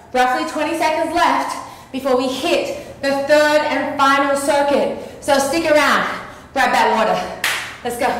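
With audible room echo and light background noise, a woman with a high voice speaks fairly slowly in a fairly even intonation, leaving long, frequent pauses. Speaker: fitness instructor. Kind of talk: workout coaching. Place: home room.

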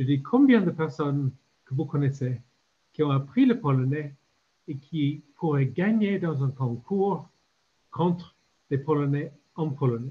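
A man with an English accent and a fairly high pitch, a dark, mellow tone, some breathiness, ordinary pitch variation, a very slow pace and long, frequent pauses. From Ireland. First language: English (speaking French). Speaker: retired diplomat; conference panelist. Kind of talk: panel discussion. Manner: halting. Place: home room. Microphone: video call.

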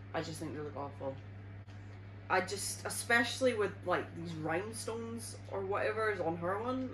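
Moderately paced speech from a woman, over faint background noise. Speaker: YouTuber. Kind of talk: reaction video. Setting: at home with her baby. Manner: animated. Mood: amused, mildly disgusted. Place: home room.

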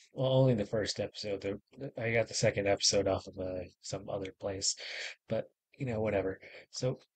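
A man's somewhat breathy, fairly low voice with fairly even intonation. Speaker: reaction video host. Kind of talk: casual vlog chat.

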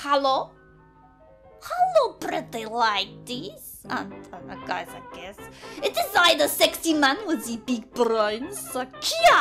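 A female-sounding, put-on character voice speaks at a high pitch with long, frequent pauses. Faint music plays in the background. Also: fairly slow pace. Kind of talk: comic overacting. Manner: boastful, brash, swearing, indignant.

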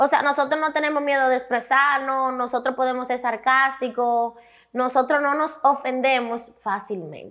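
Her moderate pace and fairly even intonation carry a bright, sharp tone at a high pitch. The woman's background stays quiet. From Dominican Republic, Santiago; Dominican Republic. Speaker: comedian and influencer; talk show guest. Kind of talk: interview. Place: studio. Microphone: lapel.

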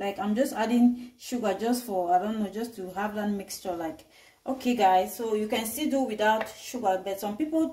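A woman at a moderate pace, with ordinary pitch variation and a quiet background. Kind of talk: cooking tutorial. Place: kitchen. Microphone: camera far.

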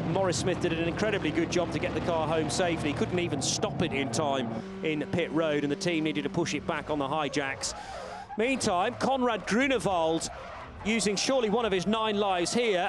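Noticeable background noise sits behind an animated tone, lively intonation and a fairly quick pace. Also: man, high pitch for a man, very even loudness. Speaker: race commentator. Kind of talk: race highlights commentary, recorded voiceover. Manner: fast, animated play-by-play; excitable, breathless at close calls.

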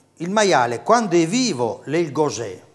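Against a quiet background, a man with a fairly high pitch talks very slowly with vocal fry, his pitch swinging very widely. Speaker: dialect course host. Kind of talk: TV dialect lesson. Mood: friendly, lightly humorous. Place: studio. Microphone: lapel.

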